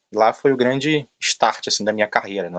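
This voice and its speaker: With a strong Rio de Janeiro accent, a man talks at a moderate pace with ordinary pitch variation in a dry, close sound with no echo. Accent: strong carioca. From Brazil, Rio de Janeiro. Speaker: logistics manager. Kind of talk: interview talk. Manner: filler-heavy, hesitant.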